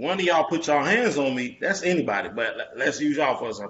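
Vocal fry runs through this fairly quick delivery, which has very wide pitch swings. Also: man. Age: 30s. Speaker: podcast host. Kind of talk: casual chat.

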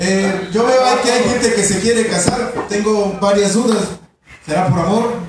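In an animated tone, a speaker with a Mexican accent talks with ordinary pitch variation. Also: man. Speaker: stand-up comedian. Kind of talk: stand-up comedy roast about love, rapid-fire punchlines and political jokes. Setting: stage with audience. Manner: animated, irreverent, crude; punchline-driven with audience laughter.

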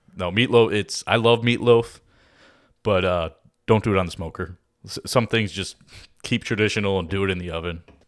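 A man with a Chicago accent, fairly low-pitched, talking at a fairly quick pace broken by long, frequent pauses. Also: fairly even intonation, very clean recording, silent background. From Chicago, Illinois (Oak Lawn). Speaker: recipe and cooking guest. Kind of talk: casual chat.

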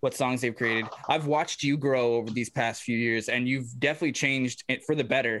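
A man with a plain, everyday voice talks at a fairly quick pace, using ordinary pitch variation. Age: 30s. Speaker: podcast host and musician. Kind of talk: casual chat. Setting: video call.

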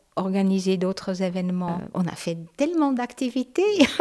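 The woman's tone is dark and mellow, with ordinary pitch variation. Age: old. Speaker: retired local councillor. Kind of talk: guided tour.

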